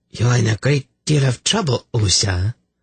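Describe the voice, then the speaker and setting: A man puts on a guttural character voice at medium pitch, with ordinary pitch variation and a moderate pace, recorded dry and close with no echo. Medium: read story. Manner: smug, mocking.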